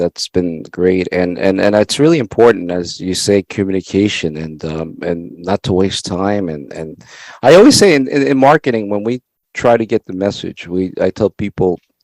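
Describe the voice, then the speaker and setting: A man with a Spanish accent, fairly low pitch and lively intonation, in a dry, close sound with no echo. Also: moderate pace. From El Salvador. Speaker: networking show host. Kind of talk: interview.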